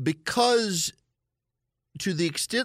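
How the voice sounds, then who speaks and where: With a Southern US accent, a man's voice comes through in a dry, close sound with no echo. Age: 40s. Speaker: political talk radio host. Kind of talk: call-in talk radio monologue.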